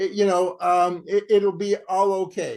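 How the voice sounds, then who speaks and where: Over a quiet background, a man with a Canadian accent speaks fairly slowly in a high pitch. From Canada. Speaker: campaign group co-founder and event moderator. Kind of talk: online panel introduction. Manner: halting, many fillers.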